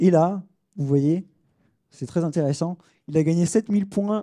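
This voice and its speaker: Dark, mellow tone from a man at a fairly high pitch, with ordinary pitch variation and a dry, close sound with no echo. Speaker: sports tech consultant. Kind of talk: conference talk. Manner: fast; hesitant, many fillers.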